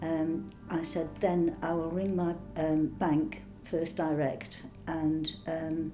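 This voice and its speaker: This woman speaks with a fairly low pitch and a flat, monotone delivery. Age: 70s. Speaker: scam call target. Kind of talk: interview answer.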